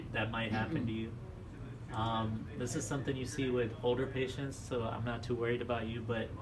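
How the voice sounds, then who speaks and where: Over noticeable background noise, a man speaks at a fairly quick pace with monotone, flat intonation. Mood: calm, reassuring. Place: office.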